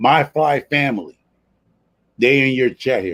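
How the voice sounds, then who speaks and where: In a New York accent, a man speaks at a medium pitch. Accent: New York City. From New York City, the Bronx. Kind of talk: casual live-stream chat. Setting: live stream.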